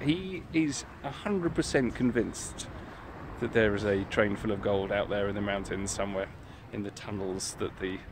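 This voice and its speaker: Speaking with ordinary pitch variation, a man with a fairly low voice is heard in a dry recording with no echo but noticeable background noise. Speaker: historian vlogger. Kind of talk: casual vlog chat. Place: street. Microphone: phone near.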